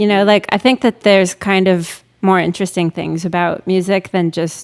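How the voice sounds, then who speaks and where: At a fairly quick pace, a woman speaks with a fairly low pitch and fairly even intonation. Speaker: singer-songwriter. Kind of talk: casual chat. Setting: live stream.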